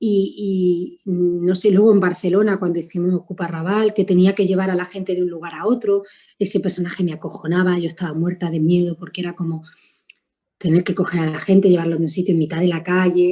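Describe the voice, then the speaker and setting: A woman speaks fairly quickly in a fairly low pitch with a dark, mellow tone. Her intonation is monotone and flat. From Spain. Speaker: actress. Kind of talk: interview. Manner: halting.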